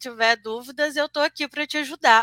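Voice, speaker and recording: A woman's high-pitched, raised and projected voice with a bright, sharp tone, dry and close with no echo, on a very clean recording with a silent background. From Brazil, Juiz de Fora, Minas Gerais. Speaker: senior software QA analyst. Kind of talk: live-streamed interview.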